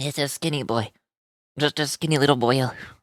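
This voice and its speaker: A raspy, put-on character voice at a low-to-middle pitch. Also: fairly quick pace. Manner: nerdy.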